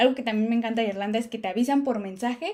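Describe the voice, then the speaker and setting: A woman speaks with a dark, mellow tone at a fairly high pitch. Her pitch varies in an ordinary way. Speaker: YouTuber living abroad, Q&A host. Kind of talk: live stream Q&A. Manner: fast; animated.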